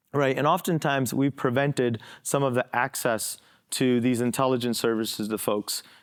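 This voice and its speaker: A man's medium-pitched voice, fairly even in intonation and very even in loudness, on a very clean recording with a silent background. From born in India, moved to the US at age ten. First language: an Indian language, not English. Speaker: federal counterintelligence agent. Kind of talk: conference panel discussion.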